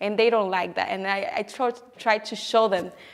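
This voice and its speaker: A woman speaks with a Spanish accent at a fairly quick pace. Her fairly high pitch shows ordinary variation. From Dominican Republic. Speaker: poet. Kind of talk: interview answer.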